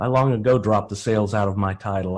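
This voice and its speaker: Talking very fast, a man with a Texan accent and fairly low pitch comes through against a quiet background. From Texas. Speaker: enablement director. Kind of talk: panel discussion. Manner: halting.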